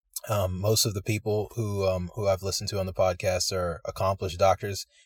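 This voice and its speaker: With an American accent, a man speaks at a fairly quick pace with a fairly low pitch and a somewhat breathy voice. The recording is very clean with a silent background, and the sound is dry and close with no echo. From US East Coast. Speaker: medical student. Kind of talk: interview storytelling. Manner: halting, many fillers.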